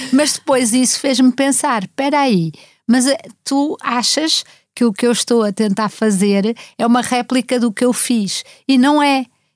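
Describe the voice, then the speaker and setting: A woman speaks at a fairly slow pace with a high pitch and ordinary pitch variation. Her loudness stays very even, and the sound is dry and close with no echo. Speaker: writer and journalist. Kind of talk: casual chat.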